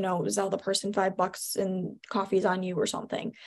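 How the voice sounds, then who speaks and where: This woman's voice sits at a medium pitch, with a Chicago accent. The recording is very clean with a silent background. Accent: Chicago American. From US Midwest, Chicago suburbs. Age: 20s. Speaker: radio host. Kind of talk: interview. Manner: upbeat.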